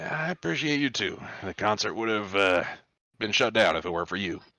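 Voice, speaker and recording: A man puts on a raspy character voice at a fairly low pitch, with lively intonation and a fairly quick pace. The recording is very clean and the background silent. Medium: actual play. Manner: easygoing, hesitant.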